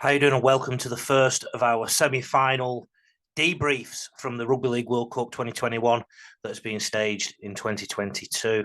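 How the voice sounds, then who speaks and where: Medium-pitched man's voice at a fairly quick pace, fairly even in intonation, against a quiet background. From northern England. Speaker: rugby league coach and commentator. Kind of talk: video analysis monologue. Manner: emotional, passionate.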